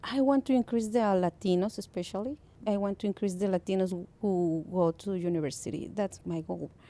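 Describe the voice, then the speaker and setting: At a fairly quick pace, the speaker talks in a Mexican accent with ordinary pitch variation and a dark, mellow tone. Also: woman, medium pitch for a woman. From Mexico. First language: Spanish. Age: 30s. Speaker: parent educator. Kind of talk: radio interview. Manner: halting.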